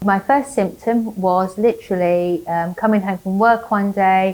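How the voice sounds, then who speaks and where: A woman of medium pitch with an English accent, ordinary pitch variation and a fairly slow pace. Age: 60s. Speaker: cancer patient and nurse. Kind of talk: testimony. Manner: halting.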